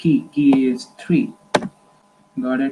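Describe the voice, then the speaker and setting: Very slow speech against noticeable background noise. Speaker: teacher explaining an algorithm. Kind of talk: tutorial.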